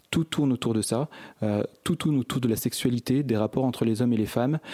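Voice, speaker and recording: In a plain, everyday voice, a man speaks at a fairly quick pace and medium pitch with ordinary pitch variation, the sound dry and close with no echo. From France, Grenoble area (Échirolles). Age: 40s. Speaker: author and activist. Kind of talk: interview.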